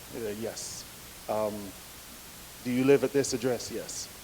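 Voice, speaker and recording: Over noticeable background noise, a man talks in a medium pitch with monotone, flat intonation. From Jamaica. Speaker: speaker at a men's breakfast. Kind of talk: personal testimony talk. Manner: conversational, many fillers.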